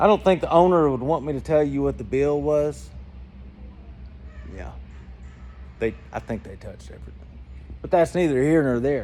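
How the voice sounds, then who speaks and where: Over music in the background, a man with a Georgia accent speaks at a moderate pace, with big swings in loudness and long, frequent pauses. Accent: Georgia Southern. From Georgia, US South. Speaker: flight instructor and aircraft dealer. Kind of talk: tutorial. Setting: aircraft hangar. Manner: casual, animated.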